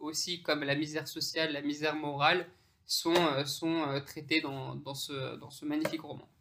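In a bright, sharp, fairly high voice, a man talks fairly slowly with monotone, flat intonation and big swings in loudness. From France, Pakistani heritage. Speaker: international jurist. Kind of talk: interview conversation. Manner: halting, many repetitions and fillers.

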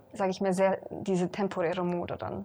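The speech moves at a moderate pace with fairly even intonation, in a very clean recording with a silent background. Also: woman. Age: 20s. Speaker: boutique owner. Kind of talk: interview.

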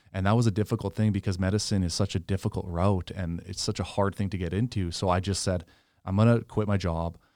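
A man with a Canadian prairie accent talks at a very fast pace in a dark, mellow tone and fairly low pitch. His intonation is monotone and flat, on a very clean recording with a silent background. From Canada, Saskatchewan. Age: 20s. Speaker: medical student and former reality TV contestant. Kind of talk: casual interview. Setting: in-person studio.

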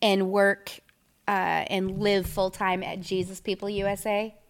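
In a normal speaking voice, a woman with an American accent talks at a fairly slow pace and medium pitch on a very clean recording with a silent background. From Minnesota. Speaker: photographer. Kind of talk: casual interview. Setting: photo studio.

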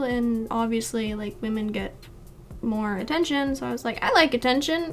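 A woman speaks in a high voice. Noticeable background noise is present. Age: 20s. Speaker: digital artist and streamer. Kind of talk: casual chat.

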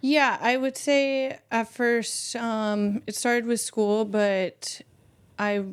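An unremarkable speaking voice uses fairly even intonation. The recording is very clean, with a silent background. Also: woman. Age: 30s. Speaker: volunteer. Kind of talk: interview.

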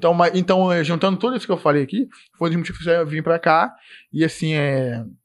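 In a Carioca accent, a man talks at a fairly quick pace with a high pitch and ordinary pitch variation. The recording is very clean, with a silent background. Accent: carioca Brazilian Portuguese. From Rio de Janeiro, Nova Iguaçu (Baixada Fluminense). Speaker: IT support technician. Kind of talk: casual chat.

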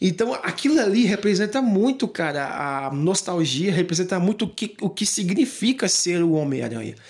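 Swinging very widely in pitch, a high-voiced man speaks at a moderate pace with hardly any pauses. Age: 20s. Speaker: podcast host. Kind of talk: solo monologue, casual film commentary. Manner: animated; halting.

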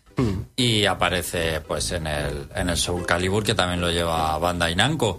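With a very deep, low pitch, a man speaks fairly slowly with hardly any pauses and ordinary pitch variation. Background noise is noticeable. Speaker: radio host. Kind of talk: game review; casual chat. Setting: radio studio.

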